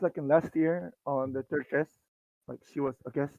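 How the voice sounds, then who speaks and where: A quiet man talks at a moderate pace. His pitch is fairly high and his intonation fairly even. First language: Korean. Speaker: fan guest. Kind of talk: casual chat. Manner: filler-heavy, uses 'like' constantly.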